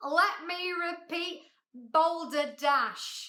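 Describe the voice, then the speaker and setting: Shouting in a put-on character voice, a woman hits an extremely high pitch. Her pitch varies in an ordinary way. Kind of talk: Victorian, theatrical. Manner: shouting, indignant.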